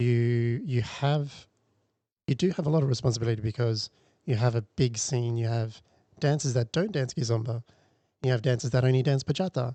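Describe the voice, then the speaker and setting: Talking at a fairly quick pace with long, frequent pauses, a man with an Australian accent has a dark, mellow tone and very even loudness. The sound is dry and close with no echo, and the background is quiet. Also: medium pitch for a man, ordinary pitch variation. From Darwin, northern Australia. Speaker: dance teacher and event organiser. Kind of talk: casual interview chat.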